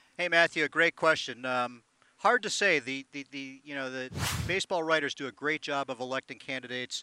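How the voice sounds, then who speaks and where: Bright and sharp in tone, a man with an American accent speaks at a medium pitch. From Boston. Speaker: baseball museum president. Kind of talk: casual interview.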